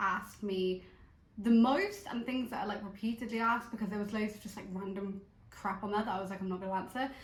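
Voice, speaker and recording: A woman's medium-pitched voice, with fairly even intonation, comes through audible room echo and noticeable background noise. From southwest England, Bristol. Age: 30s. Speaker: vlogger. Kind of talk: casual chat. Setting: at home on the sofa.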